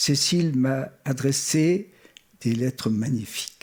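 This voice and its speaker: The man has a German accent. He speaks at a very slow pace. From Switzerland (Geneva), German-born. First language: German (speaking French). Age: 70s. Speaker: art historian, former museum curator. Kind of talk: memorial tribute speech. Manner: formal.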